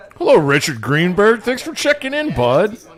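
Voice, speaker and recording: Over noticeable background noise, a man talks at a fairly slow pace with very wide pitch swings. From Flemish-speaking Belgium. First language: Flemish. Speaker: poker livestream commentator. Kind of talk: live commentary. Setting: small closet booth. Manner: animated.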